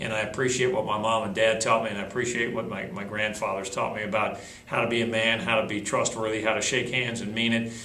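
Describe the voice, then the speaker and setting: With an American accent, the speaker talks at a very fast pace, with audible room echo and noticeable background noise. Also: man. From northern Chicago suburbs. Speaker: sports play-by-play broadcaster. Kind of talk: interview.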